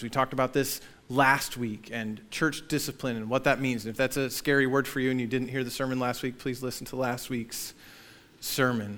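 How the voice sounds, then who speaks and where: Moving at a fairly quick pace, a man of medium pitch talks in an unremarkable speaking voice. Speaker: pastor. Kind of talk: sermon. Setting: church. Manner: casual, conversational.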